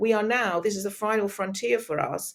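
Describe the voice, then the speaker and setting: A woman speaks at medium pitch and a moderate pace. She has a normal speaking voice. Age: 60s. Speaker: speaker and business mentor. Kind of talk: interview conversation.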